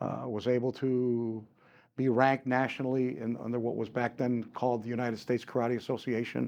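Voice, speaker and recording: The background is quiet as a man with an American accent talks at a fairly quick pace. His pitch is medium and his intonation monotone and flat. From Chicago area, Illinois (Cuban-born, came at three). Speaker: martial arts and firearms instructor. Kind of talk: interview. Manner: halting, many repeats and fillers.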